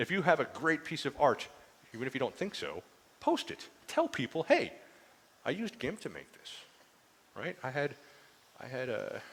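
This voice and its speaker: A man speaks at a moderate pace with long, frequent pauses and big swings in loudness. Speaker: open source software contributor giving a conference talk. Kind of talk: conference talk.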